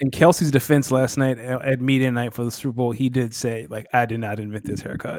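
A normal speaking voice from a man, medium in pitch, with fairly even intonation at a fairly quick pace. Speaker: podcast host. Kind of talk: casual banter.

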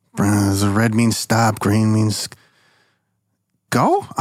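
A man mumbles in a put-on character voice at a medium pitch. The recording is very clean, with a silent background. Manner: mumbling.

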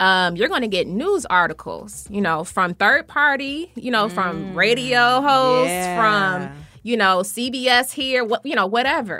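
Over music in the background, a woman with a fairly high pitch speaks at a fairly slow pace with lively intonation. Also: hardly any pauses. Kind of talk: casual radio interview chat, conversational and personal. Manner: warm, animated, laughing easily, chatty.

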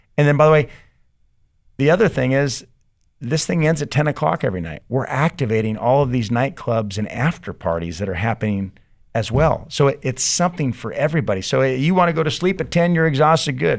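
A man with a Californian accent talks at a fairly quick pace in a medium pitch, his voice swinging very widely up and down, on a very clean recording with a silent background. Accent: Californian American English. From San Diego, California. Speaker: arena general manager and festival promoter. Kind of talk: casual interview.

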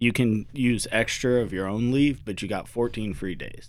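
In a very clean recording with a silent background, an ordinary speaking voice moves with ordinary pitch variation. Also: man. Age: 30s. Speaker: army soldier and father. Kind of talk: casual chat. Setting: studio.

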